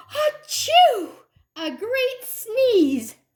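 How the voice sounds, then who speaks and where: A woman uses a put-on character voice that is squeaky and extremely high in pitch. Her pitch swings very widely. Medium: read story. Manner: chatty, defensive.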